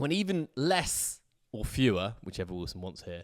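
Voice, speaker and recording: In an English accent, a man speaks at a fairly slow pace. The recording is very clean, with a silent background and a dry, close sound with no echo. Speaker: sports podcast host. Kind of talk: casual chat. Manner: loud talker.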